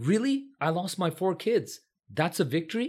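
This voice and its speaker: A man with an American accent, fairly slow, his pitch swinging very widely. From California, San Francisco Bay Area. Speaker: physician. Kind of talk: interview conversation.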